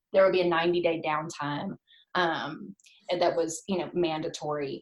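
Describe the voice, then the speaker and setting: At a moderate pace, a woman with an American accent speaks in an ordinary speaking voice at a fairly low pitch. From US South. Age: 40s. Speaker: food blogger. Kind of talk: casual chat. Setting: podcast interview.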